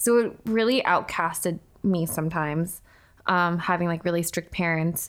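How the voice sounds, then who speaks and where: On a very clean recording with a silent background, a woman speaks with an American accent in a fairly low voice. Her pace is moderate and her pitch variation ordinary. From US West Coast, Orange County, California. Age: 20s. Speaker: fashion blogger and YouTuber. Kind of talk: casual chat. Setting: at the host's home. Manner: extroverted.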